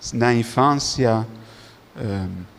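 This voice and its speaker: The man's pitch is medium. It varies in an ordinary way. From Netherlands. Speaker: religious brother. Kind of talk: testimony. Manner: halting.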